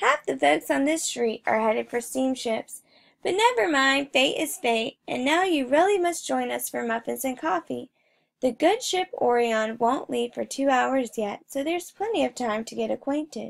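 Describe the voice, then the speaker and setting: A woman puts on a character voice, pitched high with lively intonation. She talks at a moderate pace. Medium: read story. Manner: hearty, genial.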